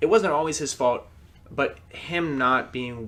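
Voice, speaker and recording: This man has an ordinary speaking voice with ordinary pitch variation. He talks at a fairly slow pace. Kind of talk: casual podcast conversation about their past.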